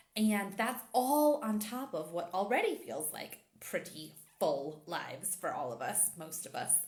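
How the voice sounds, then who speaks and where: A woman talks fairly slowly with hardly any pauses, her medium-pitched voice showing vocal fry and very wide pitch swings. Audible room echo surrounds her. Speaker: intimacy and empowerment coach. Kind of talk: casual chat.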